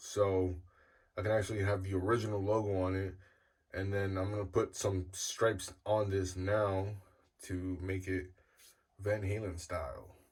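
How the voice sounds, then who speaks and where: A man speaks at a moderate pace, somewhat breathy, with long, frequent pauses. Audible room echo surrounds his voice. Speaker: guitar builder youtuber. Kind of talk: tutorial. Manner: casual, filler-heavy.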